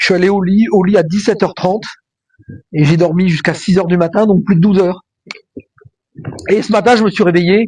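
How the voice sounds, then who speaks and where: A man speaks at a fairly quick pace with a high pitch. His intonation stays fairly even. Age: 60s. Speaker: vlogger. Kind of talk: casual vlog monologue. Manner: hesitant, many fillers.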